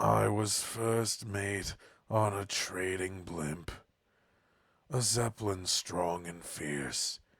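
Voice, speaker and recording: A raspy put-on character voice from a man, very deep and low in pitch, at a very slow pace. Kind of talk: improvised game voice acting. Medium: game stream. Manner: rhyming, ballad-like narration.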